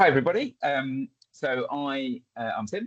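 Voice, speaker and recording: A man at medium pitch with an Essex accent. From England, Essex (near Chelmsford). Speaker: community development trainer. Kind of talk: webinar presentation.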